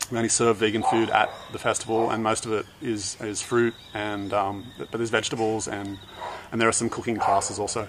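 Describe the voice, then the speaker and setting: Loud background noise fills the clip. A man talks at a fairly quick pace. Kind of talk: casual vlog chat. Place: garden.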